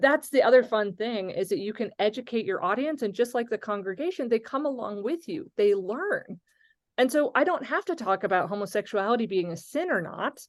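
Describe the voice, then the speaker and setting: A woman with an unremarkable speaking voice, fairly high pitch, lively intonation and a fairly quick pace. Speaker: pastor and social media creator. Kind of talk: interactive webinar discussion.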